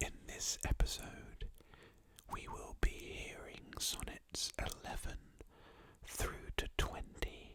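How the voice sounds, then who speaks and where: The words come in a whisper at a very slow pace. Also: man. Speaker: ASMR creator. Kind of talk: whispered reading aloud. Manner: whispering.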